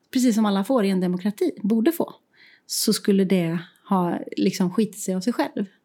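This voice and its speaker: On a very clean recording with a silent background, a woman speaks at a moderate pace and medium pitch, her tone dark and mellow, somewhat breathy, with lively intonation. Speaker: podcast co-host, creative professional. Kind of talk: casual chat. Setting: her art studio, sharing one mic.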